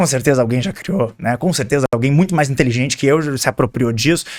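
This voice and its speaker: A man with a strong gaúcho accent, animated in tone, with lively intonation and a fairly quick pace. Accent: strong southern Brazilian (gaúcho). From southern Brazil. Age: 20s. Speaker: marketing and personal branding expert. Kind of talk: podcast interview.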